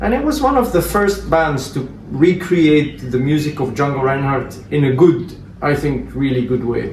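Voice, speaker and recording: Over noticeable background noise and audible room echo, a man with a fairly high pitch speaks at a moderate pace with ordinary pitch variation. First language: Flemish and Romanes. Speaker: jazz musician. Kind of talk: interview. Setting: at a private home.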